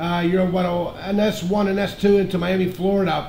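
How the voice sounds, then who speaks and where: Noticeable background noise and audible room echo accompany a high-pitched man speaking in a monotone, flat way. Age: 50s. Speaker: ham radio operator. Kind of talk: amateur radio contact. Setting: radio transmission.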